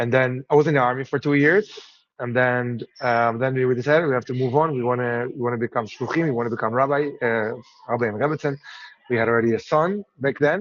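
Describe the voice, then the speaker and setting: The speaker has an Israeli accent and talks at a very fast pace. Pitch varies in an ordinary way, with a dry, close sound and no echo. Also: man, medium pitch for a man. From Israel, Jerusalem. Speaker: rabbi. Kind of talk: interview. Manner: halting, many fillers.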